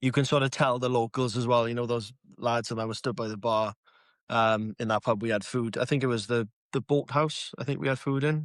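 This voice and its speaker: In a South Wales accent, a man with a medium pitch talks at a fairly quick pace with fairly even intonation, in a dry, close sound with no echo. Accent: South Wales (Swansea area) Welsh English. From Wales, Pontarddulais near Swansea. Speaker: social media comedian. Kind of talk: casual chat.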